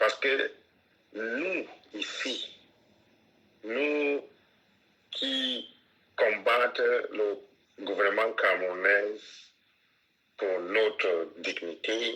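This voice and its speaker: This man talks at a very slow pace. His pauses are long and frequent. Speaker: separatist activist. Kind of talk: interview. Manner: halting, repeats words.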